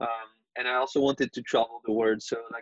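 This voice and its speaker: This man has a French accent. He talks at a moderate pace with a medium pitch. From France. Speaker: freelance designer. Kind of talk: interview. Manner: halting, many fillers.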